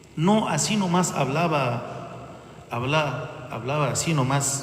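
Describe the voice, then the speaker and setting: A man speaks at a very slow pace amid noticeable background noise and audible room echo. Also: fairly high pitch for a man, ordinary pitch variation. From Egypt. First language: Arabic (speaking Spanish). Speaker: bishop. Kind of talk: sermon. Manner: halting.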